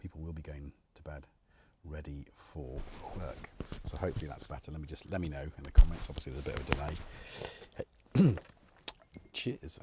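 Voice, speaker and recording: A man in a put-on character voice sounds raspy and quiet, very deep in pitch with ordinary variation, moving at a moderate pace with long, frequent pauses and big swings in loudness. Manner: quiet, hushed.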